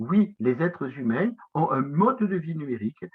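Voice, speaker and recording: A man with a southwestern French accent and very wide pitch swings. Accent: south-west French. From south-west France. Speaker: professor. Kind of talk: lecture. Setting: conference talk. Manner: hesitant, many filler sounds.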